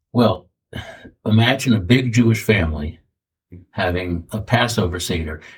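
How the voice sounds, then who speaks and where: Somewhat breathy and fairly low in pitch, a man speaks with ordinary pitch variation and long, frequent pauses. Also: moderate pace. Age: 70s. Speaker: retired school principal. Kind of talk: interview storytelling. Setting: studio. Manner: halting.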